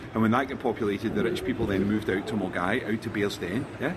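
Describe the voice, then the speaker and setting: The speech runs at a very fast pace with noticeable background noise. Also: man. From Glasgow, Scotland. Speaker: crime writer, workshop leader. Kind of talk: casual chat. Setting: Spain, bar and villa.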